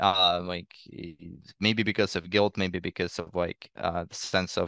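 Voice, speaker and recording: Against a quiet background, a man with a Russian accent speaks at a moderate pace in a very deep, low voice, recorded dry and close with no echo. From eastern Ukraine. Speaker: refugee and student. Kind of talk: podcast interview. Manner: halting, many repetitions.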